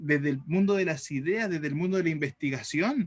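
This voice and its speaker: Fairly high male pitch, with ordinary pitch variation. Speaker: teacher. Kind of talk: lecture. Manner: fast.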